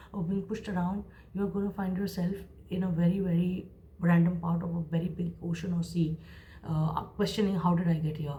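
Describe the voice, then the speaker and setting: A woman's fairly low, somewhat breathy voice, dark and mellow in tone, monotone and flat, at a fairly quick pace. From India, Mumbai. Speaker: creative professional and vlogger. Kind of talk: motivational advice monologue.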